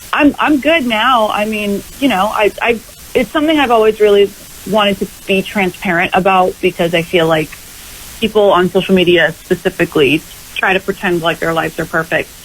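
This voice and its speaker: The speaker talks at a fairly quick pace with lively intonation. Noticeable background noise can be heard. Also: woman, medium pitch for a woman. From Massachusetts, New England. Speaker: country pop singer-songwriter. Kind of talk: radio interview.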